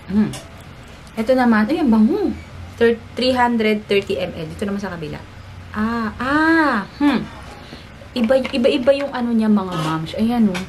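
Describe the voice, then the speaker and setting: A woman with a fairly high pitch and lively intonation speaks at a moderate pace, leaving long, frequent pauses. Noticeable background noise and audible room echo surround her voice. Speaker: beauty and family vlogger. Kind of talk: product unboxing review. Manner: animated.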